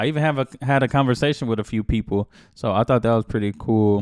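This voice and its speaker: A man talks very fast with an American accent. His pitch is medium, with ordinary variation. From United States. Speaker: reaction video host. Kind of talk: casual reaction commentary. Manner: halting, with fillers.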